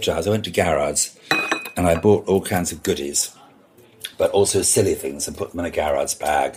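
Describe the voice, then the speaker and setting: An animated man's voice, very deep and low, with noticeable background noise. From Scotland. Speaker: party and events designer. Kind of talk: interview conversation. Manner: animated storytelling; hesitant, repeats words.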